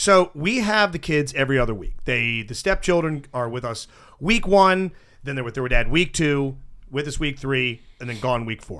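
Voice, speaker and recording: A man with a bright, sharp tone, fairly high pitch, lively intonation and moderate pace, in a very clean recording with a silent background. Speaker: radio show host. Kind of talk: casual banter, comedy radio show. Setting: studio.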